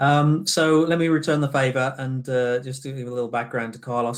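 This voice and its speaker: At a fairly quick pace, a man with a British accent speaks with fairly even intonation. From Britain. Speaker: business general manager. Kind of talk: webinar presentation. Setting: online summit.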